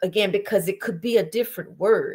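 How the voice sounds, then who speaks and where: This is a woman speaking in a Southern US accent. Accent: Southern American. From Alabama, US South. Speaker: singer and performer. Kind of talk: interview conversation. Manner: casual, many filler ums.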